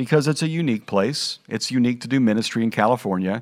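In a very clean recording with a silent background, a man with an unremarkable speaking voice talks at medium pitch with ordinary pitch variation. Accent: American. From US Midwest (Kansas/Missouri). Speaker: pastor and podcast host. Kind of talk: podcast monologue with personal stories. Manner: conversational.

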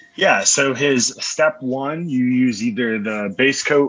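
A man at medium pitch with an American accent, over noticeable background noise. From Florida, Orlando. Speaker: pharmacist and barbecue cook. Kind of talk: casual interview chat.

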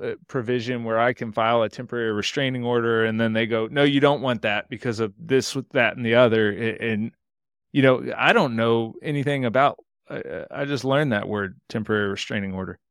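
In a very clean recording with a silent background, a normal speaking voice with an American accent talks at a fairly quick pace with fairly even intonation. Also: man, medium pitch for a man. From Texas, Houston. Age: 30s. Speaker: accountant and entrepreneur. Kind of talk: interview conversation.

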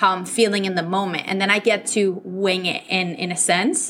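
A woman speaks with a Spanish accent at a moderate pace. Her tone is bright and sharp. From Venezuela. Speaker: podcast host and business coach. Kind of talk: solo podcast talk. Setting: travel microphone with background noise. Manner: animated.

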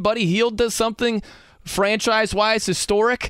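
On a very clean recording with a silent background, a speaker with an American accent talks at a moderate pace. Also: man. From US Midwest. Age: 40s. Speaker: sports radio host. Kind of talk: casual chat. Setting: studio.

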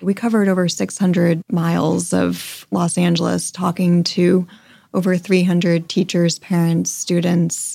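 A woman talks in an ordinary speaking voice with an American accent. Her pitch is fairly low and her pace fairly slow. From US Northeast, Connecticut. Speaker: foundation president. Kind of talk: interview.

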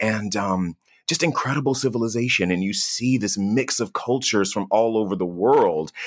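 A man with an American accent and an ordinary speaking voice talks at a moderate pace, with fairly low pitch and ordinary pitch variation, in a very clean recording with a silent background. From US South. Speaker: travel TV host. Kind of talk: interview.

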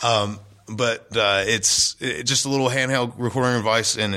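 A man with a Southern US accent speaks with ordinary pitch variation. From North Carolina. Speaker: musician. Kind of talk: casual chat.

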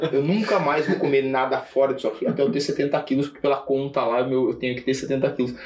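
Noticeable background noise sits under a voice at a fairly quick pace with ordinary pitch variation. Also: man. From Brazil, Sorocaba (São Paulo state). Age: 40s. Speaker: investment firm founder. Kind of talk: casual chat. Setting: office.

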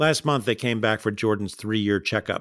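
On a very clean recording with a silent background, a man with an unremarkable speaking voice talks at medium pitch and a fairly quick pace with ordinary pitch variation. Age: 60s. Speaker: pediatrician. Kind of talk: storytelling performance. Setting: home recording.

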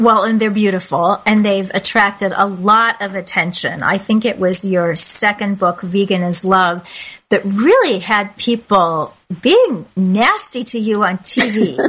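A woman with an unremarkable speaking voice, medium in pitch with ordinary pitch variation, at a fairly slow pace. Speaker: podcast host. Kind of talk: interview. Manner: warm, chatty.

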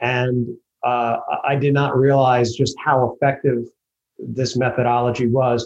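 The man speaks with an American accent in a somewhat breathy voice.

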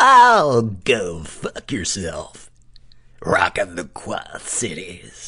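A raspy, put-on character voice drawls at a very slow pace in a low pitch. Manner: mean, aggressive, shouting.

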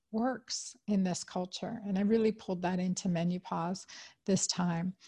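A woman's medium-pitched, somewhat breathy voice with a dark, mellow tone and fairly even intonation over a quiet background. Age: 50s. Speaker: OB-GYN doctor and podcast host. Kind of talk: solo health talk.

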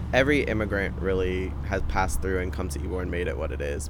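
Against noticeable background noise, a man with an American accent speaks at a fairly quick pace with fairly even intonation. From Tampa, Florida. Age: 20s. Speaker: local resident. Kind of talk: interview. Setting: outdoors.

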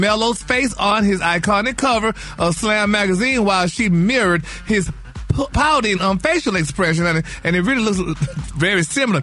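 Over noticeable background noise, a man with a high pitch talks in a raised, projected, animated voice at a fairly quick pace with ordinary pitch variation. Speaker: gossip segment host. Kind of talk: radio gossip segment, chatty and campy. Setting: studio. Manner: animated, sassy, campy with pet words like honey.

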